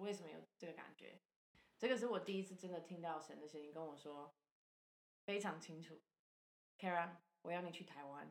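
In an English accent, a woman speaks at a fairly quick pace with a fairly low pitch, ordinary pitch variation and big swings in loudness, the sound dry and close with no echo. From Canada. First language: English (speaking Chinese). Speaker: charity founder and former missionary. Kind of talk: casual interview.

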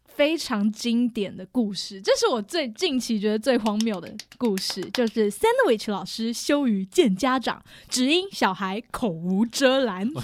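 Speech comes at a fairly slow pace, with an animated tone and lively intonation. The speaker has a Taiwanese accent. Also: woman, fairly high pitch for a woman. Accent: Taiwanese Mandarin. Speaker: teacher, returning guest. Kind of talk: casual chat, storytelling. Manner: animated, laughing often.

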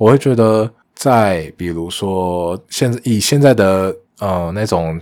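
A man talks in a very deep, low voice with ordinary pitch variation. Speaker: podcast host, engineer. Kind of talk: casual solo monologue.

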